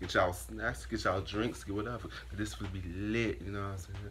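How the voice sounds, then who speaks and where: Over light background noise, a man with a very deep, low voice and vocal fry talks at a fairly quick pace with very wide pitch swings. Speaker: reaction video host. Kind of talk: casual vlog chat. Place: home room. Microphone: phone near.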